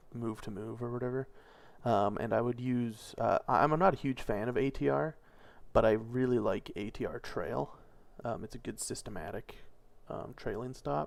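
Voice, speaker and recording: Over a silent background in a very clean recording, a man with an unremarkable speaking voice talks at a moderate pace and medium pitch with lively intonation. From Canada. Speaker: day trader. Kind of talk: casual chat.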